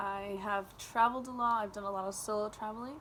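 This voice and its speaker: In a Californian accent, a woman speaks at a moderate pace with fairly even intonation. Her pitch is fairly high. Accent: Californian American English. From California, US. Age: 20s. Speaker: volunteer applicant. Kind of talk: self-introduction video. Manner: casual with many fillers.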